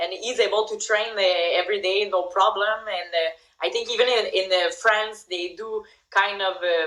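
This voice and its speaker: At a moderate pace, the speaker has a strong French accent and a bright, sharp tone. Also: woman, medium pitch for a woman, fairly even intonation. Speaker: MMA fighter. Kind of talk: podcast interview answer.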